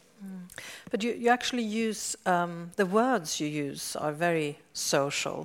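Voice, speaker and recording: In a Swedish accent, a woman with a medium pitch talks at a fairly slow pace with lively intonation and big swings in loudness on a very clean recording with a silent background. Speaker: science journalist, interviewer. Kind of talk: stage interview. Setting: stage with audience.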